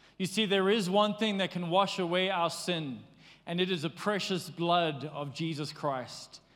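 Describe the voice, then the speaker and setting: There is audible room echo as a man with a high pitch talks at a fairly slow pace with ordinary pitch variation. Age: 40s. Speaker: pastor. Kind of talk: sermon. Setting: church.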